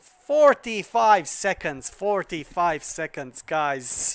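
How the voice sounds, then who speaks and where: A man speaks at a high pitch. His pace is very slow. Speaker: gaming livestreamer. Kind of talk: live stream chat. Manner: loud; animated. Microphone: quiet on a viewer's laptop.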